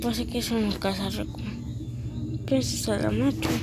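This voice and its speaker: A woman speaks amid noticeable background noise. Room echo is audible. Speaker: gaming youtuber. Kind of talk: gameplay commentary.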